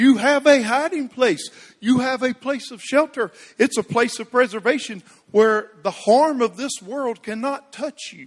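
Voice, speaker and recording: Against a quiet background, a man with an extremely high pitch speaks at a fairly slow pace, with ordinary pitch variation and big swings in loudness. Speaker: preacher. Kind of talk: sermon. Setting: church.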